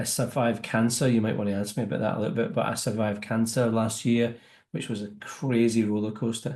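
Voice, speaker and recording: Talking at a very fast pace, a man with a Scottish accent holds a medium pitch and fairly even intonation. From Scotland. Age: 50s. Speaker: business networking entrepreneur. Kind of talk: interview.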